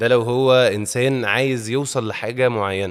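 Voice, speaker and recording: A man with an Egyptian accent, medium pitch and ordinary pitch variation. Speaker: actor. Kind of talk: interview.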